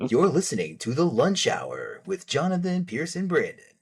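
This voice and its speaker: A man puts on a character voice pitched high. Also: moderate pace. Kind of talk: formal show-intro delivery. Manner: polished, introducing a show.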